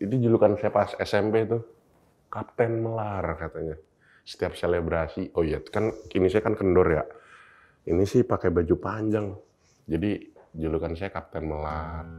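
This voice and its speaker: Against a quiet background, a dark, mellow voice speaks with long, frequent pauses. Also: man, fairly low pitch for a man, ordinary pitch variation, moderate pace. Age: 20s. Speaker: content creator and student. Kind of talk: interview testimony. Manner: casual.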